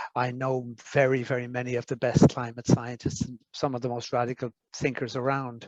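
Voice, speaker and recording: A man speaks with an Irish accent. The sound is dry and close, with no echo. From Ireland. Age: 60s. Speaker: foresight expert. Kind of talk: interview. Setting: summer school with audience. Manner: halting.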